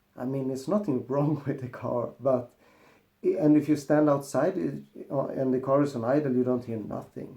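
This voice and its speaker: Speaking fairly slowly with a Swedish accent, the man has a medium-pitched voice, a dark, mellow tone and fairly even intonation. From Sweden. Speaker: car mechanic youtuber. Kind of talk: casual vlog monologue.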